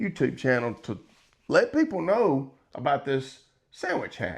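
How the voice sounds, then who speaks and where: Over a quiet background, a man with a fairly high pitch speaks with vocal fry. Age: 60s. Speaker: grandfather cooking vlogger. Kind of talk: casual tutorial vlog. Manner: rambling, halting with fillers.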